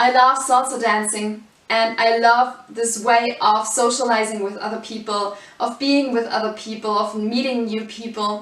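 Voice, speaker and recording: Over noticeable background noise and audible room echo, a woman talks in a fairly high pitch with a German accent and monotone, flat intonation. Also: moderate pace. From Germany. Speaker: salsa dance teacher. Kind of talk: course introduction.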